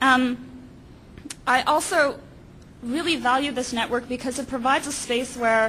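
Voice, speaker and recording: A woman uses a high, bright, sharp voice, raised and projected. She keeps a moderate pace with long, frequent pauses. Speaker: PhD student. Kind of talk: panel talk. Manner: hesitant, many fillers.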